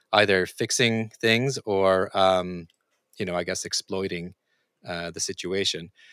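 A man with a Norwegian accent, fairly low pitch, ordinary pitch variation and a moderate pace, on a very clean recording with a silent background. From Norway. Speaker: podcast host, futurist and author. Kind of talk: interview conversation.

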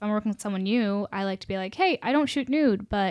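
A woman with a normal speaking voice talks at a fairly quick pace in a medium pitch with ordinary pitch variation, the sound dry and close with no echo against a quiet background. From US, Virginia (Charlottesville), South Indian family. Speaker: model and nursing student. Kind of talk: casual interview.

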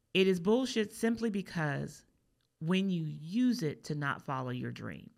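A woman with an American accent speaks at a fairly low pitch with lively intonation, recorded very cleanly against a silent background. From US East Coast. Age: 50s. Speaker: podcast host and content creator. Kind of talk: casual chat. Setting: studio.

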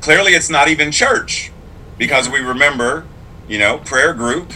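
An animated man with an American accent over noticeable background noise. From Pittsburgh, Pennsylvania. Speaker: clergy and sign language interpreter. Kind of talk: casual interview. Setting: video call.

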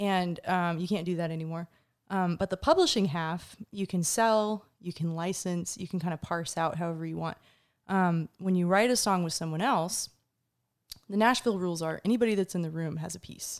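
Speaking at a moderate pace with an American accent, a woman uses a plain, everyday voice with fairly low pitch and fairly even intonation on a very clean recording with a silent background. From US South, Atlanta, Georgia. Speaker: singer-songwriter. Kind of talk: casual interview chat. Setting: studio.

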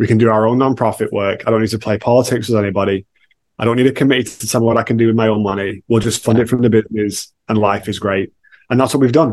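Speaking very fast, a man keeps a medium pitch and fairly even intonation. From England, Manchester. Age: 40s. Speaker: author and entrepreneur. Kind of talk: casual interview.

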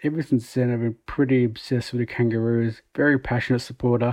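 A man with an Australian accent speaks at a fairly quick pace. His pitch is medium and his intonation fairly even. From Melbourne, Australia. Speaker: football fan. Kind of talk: recorded voice memo.

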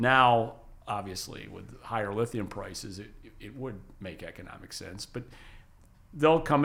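With an American accent, a man talks at a moderate pace in an ordinary speaking voice with ordinary pitch variation. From western New York State. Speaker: lithium industry consultant. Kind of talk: interview. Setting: studio.

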